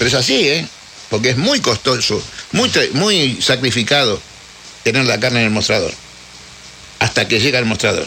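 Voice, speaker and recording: A man of medium pitch speaks at a moderate pace with very even loudness and long, frequent pauses. Noticeable background noise runs underneath. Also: ordinary pitch variation. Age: 70s. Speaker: butcher. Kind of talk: casual interview.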